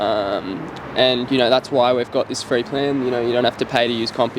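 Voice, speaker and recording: This man speaks in an Australian accent at a medium pitch and a fairly quick pace. His intonation is monotone and flat, with noticeable background noise. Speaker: startup co-founder. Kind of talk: casual chat. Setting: outdoors.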